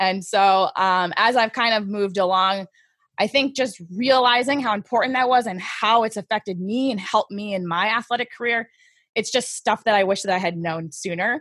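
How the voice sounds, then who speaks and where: In an American accent, a woman with a normal speaking voice and a fairly high pitch talks at a moderate pace with ordinary pitch variation, her sound dry and close with no echo on a very clean recording with a silent background. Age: 30s. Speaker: skeleton racer and soldier. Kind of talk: interview.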